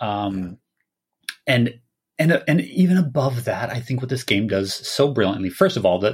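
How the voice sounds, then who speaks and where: The voice is somewhat breathy, with an American accent. The recording is very clean, with a silent background. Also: man. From Minnesota. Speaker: illustrator and graphic designer, podcast guest. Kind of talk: casual chat about video games.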